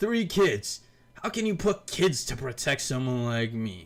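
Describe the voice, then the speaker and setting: A man uses a put-on character voice at a medium pitch. He goes fairly slowly, with very wide pitch swings. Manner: stumbling, doubtful.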